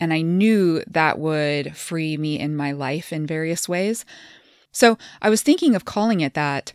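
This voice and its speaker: A woman's very deep, low voice with a Midwestern US accent, at a fairly slow pace with ordinary pitch variation, on a very clean recording with a silent background. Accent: General American, Midwestern. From Kansas. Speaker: podcast host and transformation coach, former dentist. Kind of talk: casual conversation.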